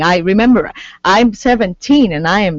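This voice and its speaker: Speaking at a moderate pace, a woman with a Puerto Rican accent has a fairly high pitch and lively intonation. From Puerto Rico. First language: Spanish. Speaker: guest author. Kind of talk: interview.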